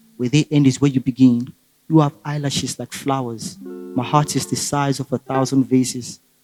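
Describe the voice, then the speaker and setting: Music plays behind a man speaking at a moderate pace in a dry, close sound with no echo. His pitch is medium, with ordinary variation. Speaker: spoken word poet. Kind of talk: spoken word poetry performance.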